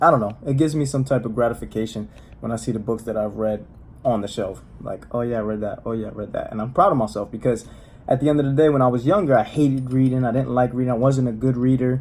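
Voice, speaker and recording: Very fast and in a Spanish accent, a man speaks at a medium pitch with ordinary pitch variation. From US, Spanish-speaking home. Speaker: motivational vlogger. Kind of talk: casual monologue. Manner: casual, halting with fillers.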